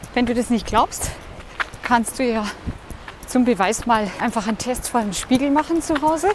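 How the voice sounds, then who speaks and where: The speaker talks at a moderate pace with ordinary pitch variation and long, frequent pauses. Noticeable background noise runs underneath. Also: woman, high pitch for a woman. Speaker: podcast host, coach. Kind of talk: motivational monologue while running. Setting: outdoors, running through city. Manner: cheerful, laughing.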